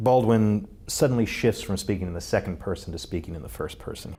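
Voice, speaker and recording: A man's unremarkable speaking voice, fairly low, with lively intonation. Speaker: TV news reporter. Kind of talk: interview question.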